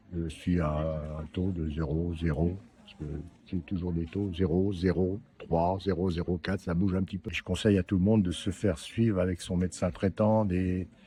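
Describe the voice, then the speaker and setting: Very deep and low, a man's voice carries a dark, mellow tone, somewhat breathy, with fairly even intonation at a moderate pace. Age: 70s. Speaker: prostate cancer survivor. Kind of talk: interview testimony. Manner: hesitant, many fillers.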